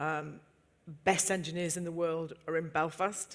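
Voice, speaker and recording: A woman with a Yorkshire accent speaks at a fairly slow pace in a fairly low pitch. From Yorkshire, England. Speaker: entrepreneur. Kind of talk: panel discussion.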